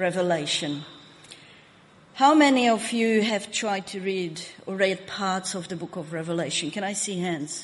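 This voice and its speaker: A woman with a Hungarian accent speaks at a fairly slow pace, with audible room echo and noticeable background noise. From Hungary. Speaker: pastor. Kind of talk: sermon. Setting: church.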